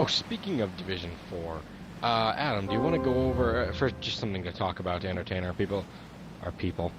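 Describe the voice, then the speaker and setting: Over music in the background, a man with a very deep, low pitch talks at a very fast pace in an energetic tone, with ordinary pitch variation. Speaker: gamer. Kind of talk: casual chat. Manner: less loud and energetic.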